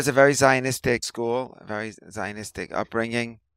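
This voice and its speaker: A man with a New York accent talks at a medium pitch with fairly even intonation. The recording is very clean, with a silent background and a dry, close sound with no echo. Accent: New York American. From New York City (Riverdale, the Bronx). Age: 50s. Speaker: physical trainer and massage therapist. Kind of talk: casual interview conversation.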